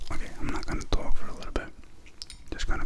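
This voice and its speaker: A man whispering over noticeable background noise. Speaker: wine ASMR content creator. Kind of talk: casual talk to camera, wine review. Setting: quarantine period, home recording. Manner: relaxed, casual, conversational.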